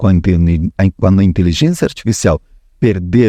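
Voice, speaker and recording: A man's very deep, low voice with a dark, mellow tone at a moderate pace. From Uruguay, Montevideo. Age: 60s. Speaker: actor. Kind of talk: podcast interview.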